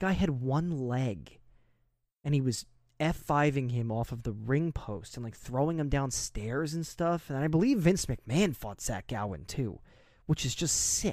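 An unremarkable speaking voice, a man with an American accent talks at a moderate pace in a fairly high pitch, with lively intonation and big swings in loudness, on a very clean recording with a silent background. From New Jersey. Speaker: wrestling podcast co-host. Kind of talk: casual chat.

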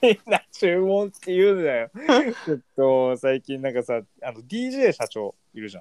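Speaking at a fairly slow pace, a man with a fairly high pitch makes very wide pitch swings and big swings in loudness, the sound dry and close with no echo. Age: 20s. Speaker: podcast co-host, young office worker. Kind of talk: casual chat.

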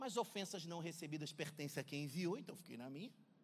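With an animated tone, a man speaks at a fairly high pitch using lively intonation. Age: 40s. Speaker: pastor. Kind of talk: sermon. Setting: church.

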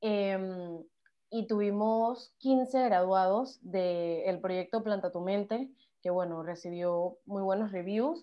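Pitch variation stays ordinary. The delivery is very slow in pace. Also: woman, medium pitch for a woman. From Panama. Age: 20s. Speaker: psychology student and activist. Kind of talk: casual interview chat.

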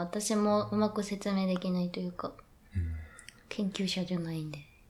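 The speaker has a plain, everyday voice. Delivery is at a moderate pace. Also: woman. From Yokohama, Kanagawa, Japan. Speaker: contemporary dancer. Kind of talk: casual interview chat. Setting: hotel studio, live stream.

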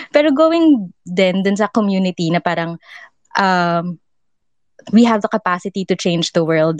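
A normal speaking voice from a woman at a medium pitch, with lively intonation and a fairly slow pace, in a dry, close sound with no echo against a quiet background. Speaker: discussion participant.

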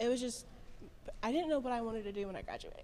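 A woman speaks at a high pitch. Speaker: bakery business owner. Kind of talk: casual interview chat.

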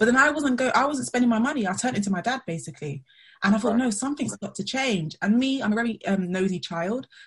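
A woman talks very fast in a London accent. Her voice is somewhat breathy. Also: fairly high pitch for a woman, lively intonation. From Southeast London. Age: 30s. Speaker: money mindset coach. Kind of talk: webinar interview.

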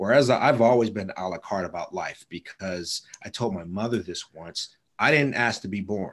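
An ordinary speaking voice from a man, fairly low in pitch, at a moderate pace with ordinary pitch variation. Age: 40s. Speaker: data and systems analyst. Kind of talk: casual chat.

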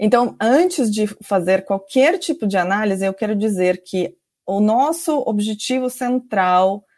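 On a very clean recording with a silent background, a woman speaks at a fairly slow pace and a fairly high pitch, her pitch swinging very widely. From Georgia. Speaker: sociology professor. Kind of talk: interview. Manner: halting with many fillers.

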